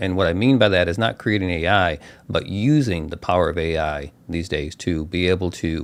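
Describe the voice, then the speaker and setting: A man with an American accent, very deep, low pitch, ordinary pitch variation and a moderate pace, on a very clean recording with a silent background. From US Midwest, Chicago. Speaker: tech YouTuber, solutions architect. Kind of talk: live stream Q&A chat. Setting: live stream. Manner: casual with many fillers.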